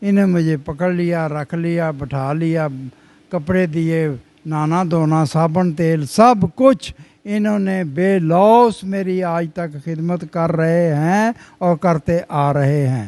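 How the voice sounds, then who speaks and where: A man's high-pitched voice with a dark, mellow tone and ordinary pitch variation. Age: old. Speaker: old age home resident. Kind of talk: interview answer.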